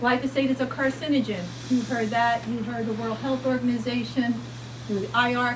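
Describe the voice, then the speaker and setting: Moderate-paced speech from a woman, with noticeable background noise and audible room echo. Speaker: physician speaker. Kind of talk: lecture. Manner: animated.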